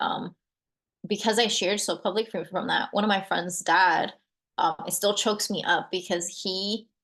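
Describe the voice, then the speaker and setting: Against a quiet background, a woman speaks at a moderate pace and medium pitch with fairly even intonation. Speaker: navy veteran. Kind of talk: personal vlog. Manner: hesitant, many fillers; lowered voice.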